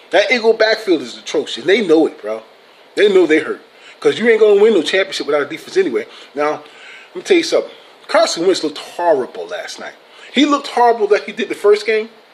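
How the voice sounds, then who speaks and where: A man with a high pitch, very wide pitch swings and big swings in loudness, an animated tone at a very fast pace, over noticeable background noise. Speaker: sports vlogger. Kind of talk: casual vlog commentary. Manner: animated, swearing rant.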